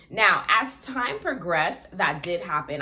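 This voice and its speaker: In an American accent, a woman speaks at a medium pitch with an animated tone and lively intonation, with audible room echo. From Florida, US. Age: 20s. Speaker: vlogger. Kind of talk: casual vlog talk to camera. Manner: fast.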